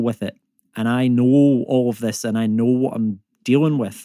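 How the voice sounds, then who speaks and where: With a Scottish accent, the speaker has a dark, mellow tone in a dry, close sound with no echo. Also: man, very clean recording, silent background. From Scotland. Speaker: climate comedian and environmental economist. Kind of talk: casual conversational, humorous. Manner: joking, humorous.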